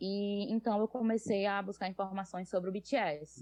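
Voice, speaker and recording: A woman with a northeastern Brazilian accent speaks at a moderate pace. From Brazil, Northeast (Natal, Rio Grande do Norte). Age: 20s. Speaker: fanfic writer, nursing student. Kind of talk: podcast interview.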